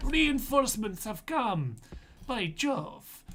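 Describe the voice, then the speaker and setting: Audible room echo surrounds this man's voice. His intonation is lively. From England. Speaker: video game streamer. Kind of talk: live gameplay commentary. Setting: livestream from a relative's computer. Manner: animated.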